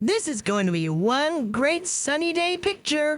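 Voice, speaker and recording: This is a put-on character voice with high pitch. It proceeds at a fairly slow pace. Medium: read story. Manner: cheerful, upbeat.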